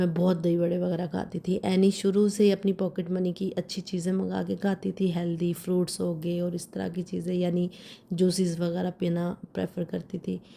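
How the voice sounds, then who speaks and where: Pitched fairly low, a woman's voice has a dark, mellow tone. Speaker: vlogger. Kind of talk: vlog voiceover narration. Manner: slow.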